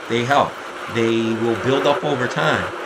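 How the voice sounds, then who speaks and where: Amid audible room echo and noticeable background noise, a man talks at a fairly slow pace. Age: 60s. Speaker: amateur cyclist and triathlete, race commentary vlogger. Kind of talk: race recap commentary over video. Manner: casual, conversational with fillers.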